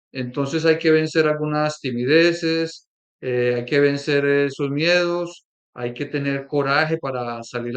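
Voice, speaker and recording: Speaking with a Colombian accent, a man uses a fairly high pitch and fairly even intonation. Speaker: workshop leader, institute co-director. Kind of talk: workshop presentation.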